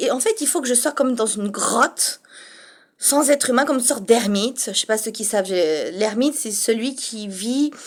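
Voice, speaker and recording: A woman speaks in a high pitch with lively intonation. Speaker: vlogger. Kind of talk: casual monologue. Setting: home studio apartment. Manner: speaking softly.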